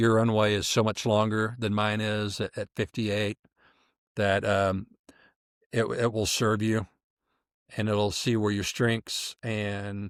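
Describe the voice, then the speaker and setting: A man with an American accent speaks at a fairly slow pace in a fairly low, monotone voice with flat intonation and long, frequent pauses. The recording is very clean with a silent background and a dry, close sound with no echo. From US Midwest. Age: 50s. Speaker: podcast guest. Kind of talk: casual interview chat.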